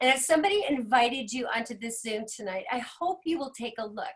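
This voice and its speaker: Her voice is high-pitched, and this woman keeps to a moderate pace. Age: 60s. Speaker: business owner. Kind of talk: testimony. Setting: video call.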